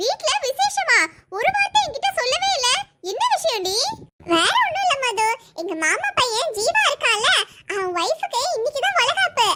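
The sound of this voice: This is a cartoonish character voice, squeaky and extremely high-pitched. It moves at a fairly slow pace.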